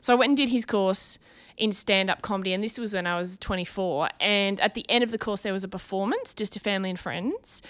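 Talking at a very fast pace, a woman with an Australian accent keeps a medium pitch and fairly even intonation. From Brisbane, Australia. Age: 30s. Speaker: comedian and TV host. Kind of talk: casual interview chat. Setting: at her home.

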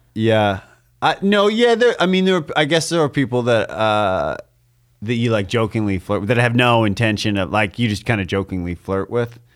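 In a very clean recording with a silent background, a man with a normal speaking voice talks at a moderate pace, medium pitch and lively intonation. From Canada. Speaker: comedian co-host. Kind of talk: casual chat.

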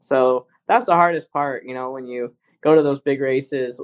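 A man talks at a moderate pace in an unremarkable speaking voice. His pitch sits fairly high, and his intonation stays fairly even. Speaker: racing driver. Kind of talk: casual interview.

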